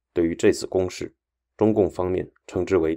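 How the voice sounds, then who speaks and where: In a serious, dramatic tone, a man speaks at a moderate pace on a very clean recording with a silent background. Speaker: radio host and history narrator. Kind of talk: history documentary narration, scripted and read aloud. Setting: studio. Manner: formal, steady and measured, grave broadcast delivery that builds tension; even, newsreader-like pace, serious tone, briefly dramatic at battle turning points.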